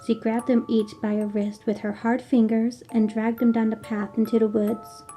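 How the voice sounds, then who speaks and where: Over music in the background, a woman speaks at a fairly slow pace with a fairly high pitch. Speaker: storyteller. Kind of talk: gothic horror story reading.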